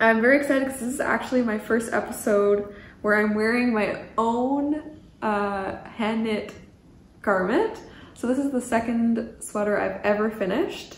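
A woman talks at a moderate pace, her pitch varying in an ordinary way, with audible echo from the room. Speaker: knitting podcaster. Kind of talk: casual vlog chat. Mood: cheerful, excited. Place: home room. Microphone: camera far.

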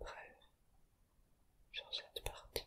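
The speaker is a man, and he whispers. He goes at a very slow pace. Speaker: hobbyist tarot learner and ASMR creator. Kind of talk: ASMR whispered tarot explainer. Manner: whispered, relaxing.

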